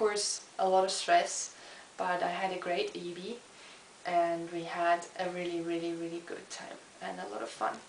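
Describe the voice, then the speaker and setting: A woman talks at a moderate pace with a fairly low pitch. Noticeable background noise and audible room echo are present. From eastern Germany (Chemnitz). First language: German. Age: 20s. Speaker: student. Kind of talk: video self-introduction. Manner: hesitant with fillers.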